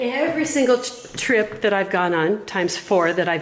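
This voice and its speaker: Noticeable background noise sits behind a woman's voice. She speaks at a medium pitch with lively intonation. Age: 60s. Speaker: underwater photographer. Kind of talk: tutorial. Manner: casual.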